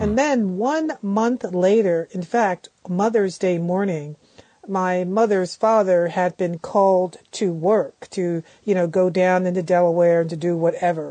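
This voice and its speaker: A woman's medium-pitched voice with an American accent, a dark, mellow tone, ordinary pitch variation, and a fairly slow pace. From Philadelphia, US. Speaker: professor. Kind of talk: interview. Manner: halting, many fillers.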